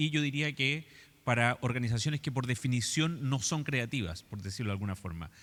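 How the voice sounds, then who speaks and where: A man's lively intonation and fairly quick pace in a Chilean accent, on a very clean recording with a silent background. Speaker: architect and design educator. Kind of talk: lecture.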